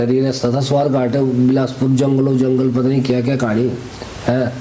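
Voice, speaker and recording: There is noticeable background noise. Through it, a man talks at a medium pitch. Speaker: wedding photographer and vlogger. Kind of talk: storytelling in pahadi dialect. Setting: outdoors.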